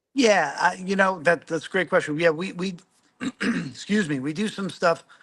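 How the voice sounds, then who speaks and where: A man's put-on character voice, high-pitched, raspy and hoarse, at a moderate pace. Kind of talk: professional business interview.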